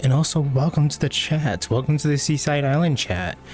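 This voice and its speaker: Background noise is noticeable throughout. The speaker is a man. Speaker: livestreamer. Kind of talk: casual chat. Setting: livestream.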